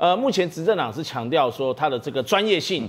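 Pitched fairly high, a man speaks at a fairly quick pace with very wide pitch swings. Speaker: political commentator. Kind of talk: TV political talk show panel.

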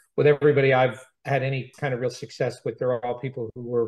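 A man talks at a fairly quick pace, somewhat breathy, with fairly even intonation. The background is quiet. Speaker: interviewee. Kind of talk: interview answer. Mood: reflective, warm. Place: office. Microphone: video call.

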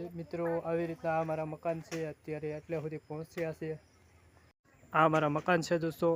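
A man delivers his words in a flat monotone at a fairly high pitch. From Saurashtra, Gujarat (Amreli district). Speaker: village vlogger. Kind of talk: casual vlog. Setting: outdoors on a farm.

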